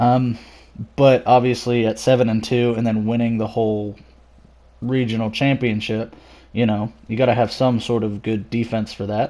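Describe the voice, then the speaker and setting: In a very clean recording with a silent background, a man speaks at a moderate pace in a dark, mellow tone of medium pitch, his intonation monotone and flat. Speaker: esports commentator YouTuber. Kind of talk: unscripted video commentary. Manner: halting with frequent pauses and fillers.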